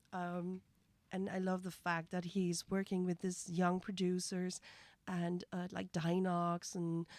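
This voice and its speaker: In a Dutch accent, a woman speaks at a fairly slow pace and fairly low pitch with monotone, flat intonation, on a very clean recording with a silent background. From Netherlands. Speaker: music reaction streamer. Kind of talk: live stream reaction commentary. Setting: live stream. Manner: halting.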